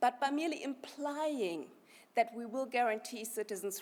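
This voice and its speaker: A woman with a German accent, fairly high-pitched, with lively intonation at a moderate pace. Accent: noticeable German. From Germany. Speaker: party activist, conference speaker. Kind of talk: conference speech. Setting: party conference hall.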